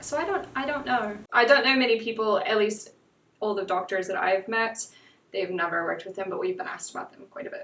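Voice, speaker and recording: Over noticeable background noise, a woman talks at a fairly quick pace in a fairly high pitch, with lively intonation and big swings in loudness. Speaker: veterinary worker, podcast guest. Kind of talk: casual chat.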